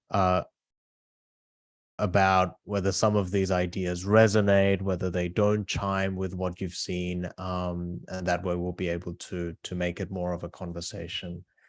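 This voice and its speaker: Over a quiet background, a man speaks at a fairly slow pace in a very deep, low pitch with monotone, flat intonation. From Australia (moved from South Korea at eight). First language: Korean. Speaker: author. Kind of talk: book talk. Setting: video call.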